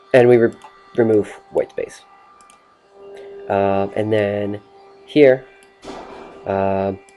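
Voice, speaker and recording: With music in the background, a man speaks at a very slow pace and a fairly low pitch, his intonation fairly even and his pauses long and frequent. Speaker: student. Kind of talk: tutorial. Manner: halting.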